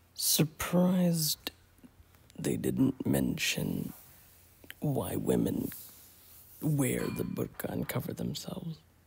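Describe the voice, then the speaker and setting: The words come as a whisper at a very slow pace, broken by long, frequent pauses. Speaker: YouTuber. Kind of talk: reaction video commentary. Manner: whispering.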